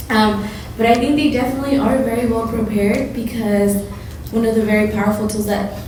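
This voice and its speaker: Audible room echo and noticeable background noise surround this recording. A woman talks at a fairly quick pace in a fairly high pitch. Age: 20s. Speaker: panel guest. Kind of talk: panel discussion.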